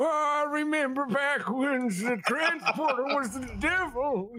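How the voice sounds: With noticeable background noise, a put-on character voice speaks at a fairly slow pace.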